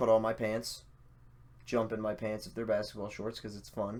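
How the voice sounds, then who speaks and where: This is a man with a medium pitch. He delivers his words at a moderate pace. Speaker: gaming live streamer. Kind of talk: casual live stream talk. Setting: live stream on camera. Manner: subdued, low energy.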